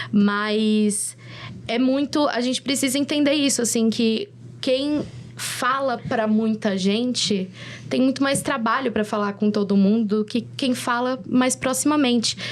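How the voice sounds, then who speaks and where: At a fairly slow pace, a woman speaks with fairly high pitch and ordinary pitch variation. Her loudness stays very even despite noticeable background noise. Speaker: content creator and influencer. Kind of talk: videocast panel discussion. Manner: halting, many fillers and restarts.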